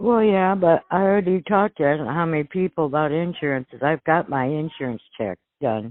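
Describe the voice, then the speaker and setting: A woman talks at a fairly quick pace with hardly any pauses. Her pitch is very deep and low. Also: lively intonation. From US Midwest, Mississippi River area. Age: old. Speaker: sales prospect. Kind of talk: phone conversation. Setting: phone call.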